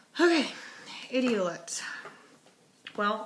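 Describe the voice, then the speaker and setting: Woman's voice, moderate pace, audible room echo and noticeable background noise. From US South. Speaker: linguistics student. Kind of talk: homework video monologue. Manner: casual, hesitant with fillers.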